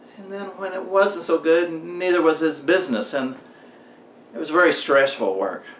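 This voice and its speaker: Over noticeable background noise, a high-pitched man speaks at a moderate pace with lively intonation and big swings in loudness. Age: 60s. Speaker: motivational vlogger. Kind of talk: storytelling monologue.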